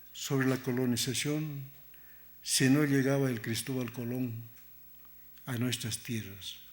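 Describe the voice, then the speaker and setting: With a non-native accent, the speaker goes at a very slow pace amid audible room echo. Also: man. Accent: non-native Spanish, self-described. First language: Aymara (speaking Spanish). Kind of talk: conference talk. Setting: museum lecture hall with audience.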